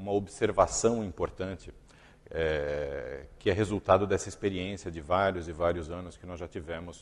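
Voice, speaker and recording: A man with a very deep, low pitch. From Brazil. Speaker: company executive giving a talk. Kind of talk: conference talk. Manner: halting, with fillers and repetitions.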